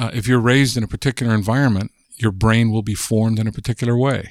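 A man with a General American accent and medium pitch at a moderate pace, in a dry, close sound with no echo and a very clean recording with a silent background. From Southern California. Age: 60s. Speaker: linguist. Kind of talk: interview. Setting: in person.

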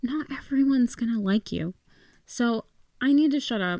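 A woman's voice on a very clean recording with a silent background. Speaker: podcast host. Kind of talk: casual solo podcast chat. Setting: in bed at home, recording. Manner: casual, chatty, self-deprecating.

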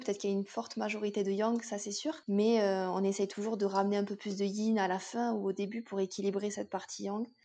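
A woman speaks at a medium pitch in a dark, mellow tone. Her intonation is fairly even, and the background is quiet. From southwest France. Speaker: yoga teacher and fitness coach. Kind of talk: casual interview. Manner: hesitant, many fillers.

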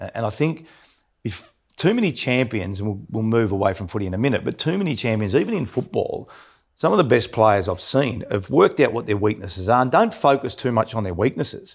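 On a very clean recording with a silent background, a man with an Australian accent talks fairly quickly at a medium pitch with lively intonation. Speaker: podcast host, former footballer. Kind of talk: casual chat.

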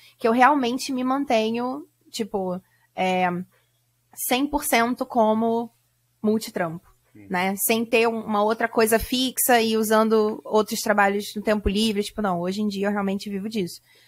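A woman uses a plain, everyday voice with a fairly high pitch. She goes at a fairly slow pace with ordinary pitch variation. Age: 30s. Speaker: translator and course creator. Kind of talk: casual interview.

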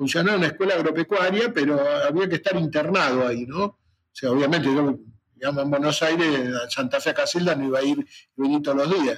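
A man is speaking. His pace is fairly quick. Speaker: retired veterinary professor and former university rector. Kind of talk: interview.

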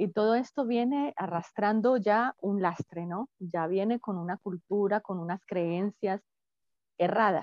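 A woman talks fairly slowly in an ordinary speaking voice. Her pitch is medium, with ordinary pitch variation. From Colombia. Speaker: psychologist. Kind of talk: interview.

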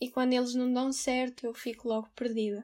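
She speaks at a high pitch in a monotone, flat intonation. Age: 20s. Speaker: theatre graduate and volunteer. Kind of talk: personal testimony.

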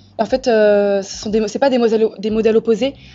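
At a moderate pace, a woman speaks fairly high in pitch with monotone, flat intonation. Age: 20s. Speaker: nursing student. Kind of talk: casual chat.

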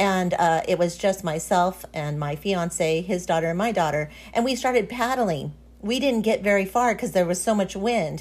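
Speaking at a moderate pace, a woman has a normal speaking voice at medium pitch with ordinary pitch variation. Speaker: podcast host. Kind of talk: casual interview chat. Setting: remote recording, audio call.

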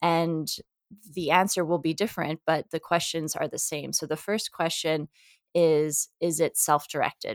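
Her voice sits at a fairly low pitch for a woman, with monotone, flat intonation. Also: moderate pace, dry, close sound with no echo. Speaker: psychologist and professor. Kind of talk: interview.

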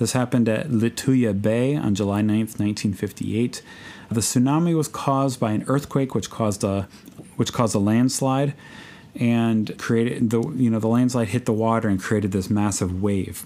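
This man has an American accent and a dark, mellow tone at a medium pitch. He keeps a moderate pace, ordinary pitch variation and very even loudness. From US Midwest, Chicago. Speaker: podcast host, missionary bush pilot. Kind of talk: casual solo podcast talk.

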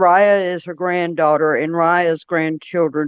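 Over a quiet background, a woman with an East Tennessee accent talks at a fairly slow pace and a fairly low pitch. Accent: Southern US (East Tennessee). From US South, Monroe County, Tennessee. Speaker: Bigfoot experiencer. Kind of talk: casual interview. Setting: phone call on speaker.

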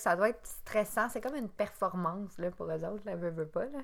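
At a moderate pace, a woman with a Quebec accent speaks with ordinary pitch variation. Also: very clean recording, silent background. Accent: Québécois French. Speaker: podcast co-host. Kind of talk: casual chat.

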